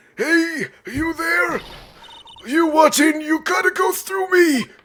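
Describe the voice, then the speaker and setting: A man speaks in a put-on character voice at an extremely high pitch and a fairly slow pace. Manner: challenging, confronting.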